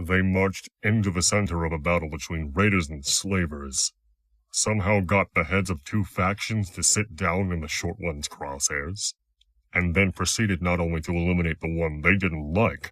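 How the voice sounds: A man does a put-on character voice, rumbling at a very deep, low pitch. He goes at a moderate pace with fairly even intonation.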